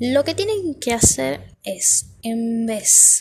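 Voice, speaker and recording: Fairly high-pitched woman's voice. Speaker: podcaster. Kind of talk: casual monologue. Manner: halting.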